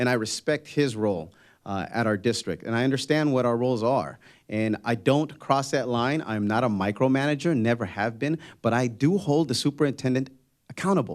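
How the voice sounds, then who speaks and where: A man at medium pitch with ordinary pitch variation and a fairly quick pace, on a very clean recording with a silent background. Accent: Spanish. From Spanish-speaking country, immigrant. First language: Spanish. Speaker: political candidate, school board member and teacher. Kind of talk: candidate forum answers.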